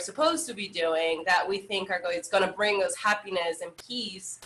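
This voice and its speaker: Speaking with a Salvadoran accent, a woman's voice comes through bright and sharp in tone. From El Salvador. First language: Spanish. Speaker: yoga instructor. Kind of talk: interview.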